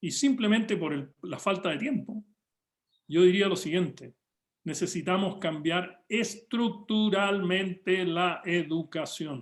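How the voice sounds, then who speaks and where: Very slowly, a man speaks at a high pitch with ordinary pitch variation. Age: 70s. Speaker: economist and spiritual teacher. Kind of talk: workshop talk.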